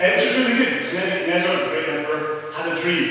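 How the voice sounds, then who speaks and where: A man talks over noticeable background noise. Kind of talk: live storytelling performance, fast and humorous retelling of a bible story.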